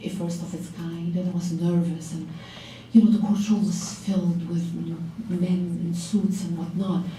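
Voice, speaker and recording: Noticeable background noise and audible room echo around a woman speaking at a moderate pace. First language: not English (English is third language). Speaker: lawyer, law firm owner. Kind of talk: panel talk to law students.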